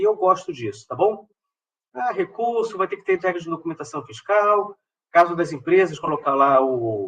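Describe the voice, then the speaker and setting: Using a raised, projected voice with a bright, sharp tone, a man speaks at a fairly quick pace. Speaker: professor giving a funding-call workshop. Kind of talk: online tutorial / workshop presentation. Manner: not fast, measured.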